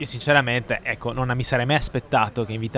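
Through noticeable background noise, a man talks at a fairly quick pace in a medium pitch. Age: 30s. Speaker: podcast host. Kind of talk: casual discussion.

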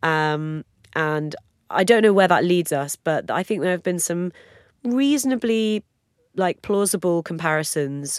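Very clean recording with a silent background and a dry, close sound with no echo: a woman at a fairly slow pace with ordinary pitch variation. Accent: British. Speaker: music podcast co-host, former music journalist. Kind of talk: casual chat. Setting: studio.

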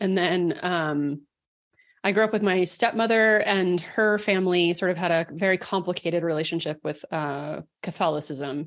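A woman with an American accent has an ordinary speaking voice, fairly low in pitch with ordinary pitch variation, at a moderate pace. The recording is very clean, with a silent background. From Texas, Dallas. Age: 40s. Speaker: writer and podcaster. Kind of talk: interview conversation.

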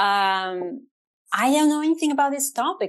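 A high-pitched woman's voice with a Bulgarian accent, lively intonation and moderate pace against a quiet background. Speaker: trend researcher and strategist. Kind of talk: interview conversation.

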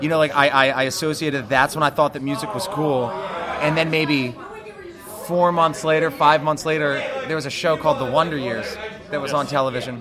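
A man with an American accent talks at a fairly quick pace with a fairly high pitch and fairly even intonation. Room echo is audible, with crowd noise in the background. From New Jersey. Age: 20s. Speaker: rock band musician. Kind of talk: casual interview chat.

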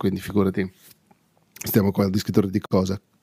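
Fairly low male speech, dry and close with no echo. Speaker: podcaster reviewing microphones. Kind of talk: casual monologue.

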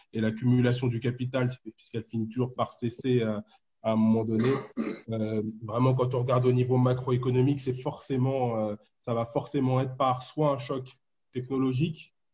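A man speaks at a moderate pace and medium pitch, in a somewhat breathy, dark, mellow tone. His intonation is monotone and flat. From Ivory Coast. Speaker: economics postdoctoral researcher. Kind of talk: explanatory group discussion. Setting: online group call.

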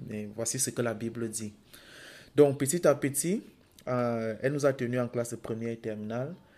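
Recorded very cleanly against total silence, this dark, mellow voice swings widely in loudness and leaves long, frequent pauses. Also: man, medium pitch for a man, ordinary pitch variation, moderate pace. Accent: Cameroonian. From Cameroon. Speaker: podcast co-host. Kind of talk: testimony.

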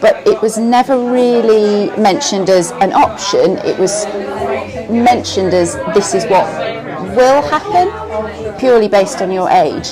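Amid crowd noise and audible room echo, a woman with a fairly high pitch talks at a fairly slow pace with lively intonation. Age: 40s. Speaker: mother. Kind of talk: testimony. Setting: cafe.

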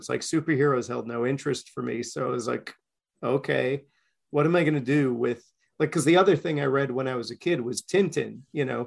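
Against a quiet background, a man with an American accent talks at a fairly quick pace in a fairly high pitch, showing ordinary pitch variation and vocal fry. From Queens, New York. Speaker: comics creator. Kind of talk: casual chat, podcast interview. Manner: animated, talkative.

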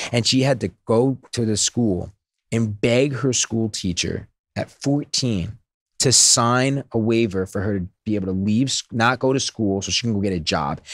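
A man talks at medium pitch with ordinary pitch variation. He has a normal speaking voice. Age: 30s. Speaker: serial entrepreneur. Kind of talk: casual interview chat.

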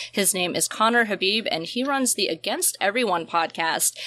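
A woman with an American accent has a bright, sharp tone. She keeps a moderate pace and ordinary pitch variation. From US South. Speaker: podcast host. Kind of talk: casual chat.

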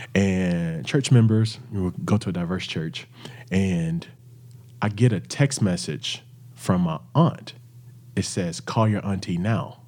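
A man with a Southern US accent speaks at a very deep, low pitch with lively intonation. His pace is very slow, with long, frequent pauses. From Arkansas, near Little Rock. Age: 30s. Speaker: singer, author and entrepreneur. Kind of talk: interview conversation.

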